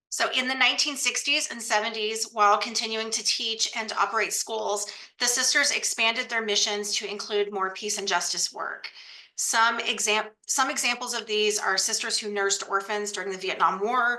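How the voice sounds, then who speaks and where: At a moderate pace and with fairly even intonation, the speaker talks over noticeable background noise. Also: woman, fairly high pitch for a woman. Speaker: archive center director. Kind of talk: webinar presentation.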